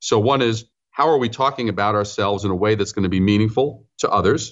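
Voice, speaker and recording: Speech comes at a fairly quick pace with a New York accent. Pitch varies in an ordinary way. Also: man. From New York City (Brooklyn, Queens). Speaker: branding consultant and author. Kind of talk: interview.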